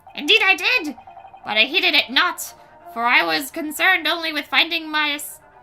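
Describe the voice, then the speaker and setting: A put-on character voice over faint music in the background. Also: moderate pace. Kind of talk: comic overacting. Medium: game stream. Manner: pompous, archaic and flowery.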